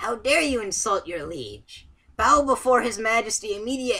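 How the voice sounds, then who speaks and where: A put-on, female-sounding character voice, fairly high in pitch at a moderate pace, on a very clean recording with a silent background. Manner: pompous, commanding.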